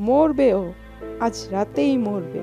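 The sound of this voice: Doing a put-on character voice over faint background music, a woman speaks slowly with a fairly high pitch, a dark, mellow tone, vocal fry and lively intonation.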